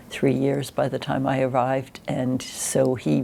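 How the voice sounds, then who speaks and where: The woman's voice is very deep and low for her, with monotone, flat intonation. Background noise is noticeable. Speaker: retired judge. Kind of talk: oral history interview answer.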